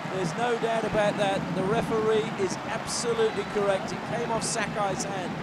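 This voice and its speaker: With hardly any pauses, a high-pitched man talks in an animated, excited tone over noticeable background noise. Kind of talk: live sports commentary. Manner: animated, punchy play-by-play with quick excited calls; confident, emphatic, declarative.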